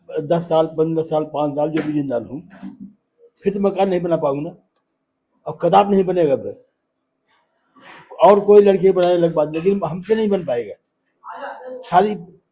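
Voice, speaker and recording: A man speaks with a dark, mellow tone. His pitch is high, with ordinary variation. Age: 80s+. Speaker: displaced resident. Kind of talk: street interview. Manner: halting.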